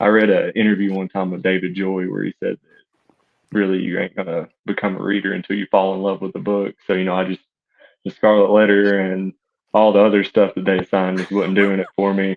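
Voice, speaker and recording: With an East Tennessee accent, a man with a fairly low pitch talks at a fairly quick pace in a monotone, flat intonation. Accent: East Tennessee Southern US. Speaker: fiction writer. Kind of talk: podcast interview.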